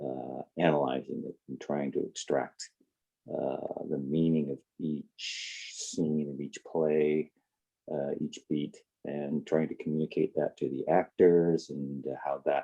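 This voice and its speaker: A man speaks with a very deep, low pitch. He goes at a very slow pace. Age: 60s. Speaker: playwright and retired video game artist. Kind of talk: interview. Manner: halting, many fillers.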